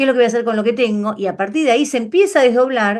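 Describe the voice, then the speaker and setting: A woman's fairly high, lively voice at a very fast pace against a quiet background. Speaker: numerology teacher. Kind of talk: online class lecture.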